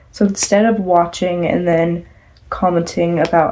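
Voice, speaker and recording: A woman's fairly low voice at a fairly slow pace, with noticeable background noise. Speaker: fan vlogger. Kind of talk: casual chat. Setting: at home at night. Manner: soft-spoken.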